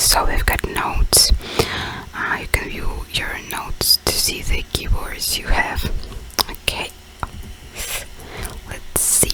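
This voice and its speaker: A woman whispering at a very slow pace with long, frequent pauses amid noticeable background noise. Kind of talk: casual talk while playing a game. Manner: whispered.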